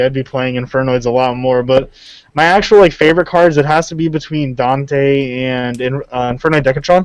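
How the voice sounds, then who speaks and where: A man's medium-pitched, fairly quick delivery in a plain, everyday voice, with fairly even intonation. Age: 20s. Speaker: YouTuber, card game player. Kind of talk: casual interview chat.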